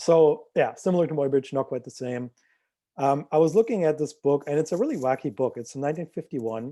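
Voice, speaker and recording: At a moderate pace, a man with a fairly high pitch and a dark, mellow tone speaks with ordinary pitch variation on a very clean recording with a silent background. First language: not English. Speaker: visual artist. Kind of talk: artist talk presentation. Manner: hesitant with fillers.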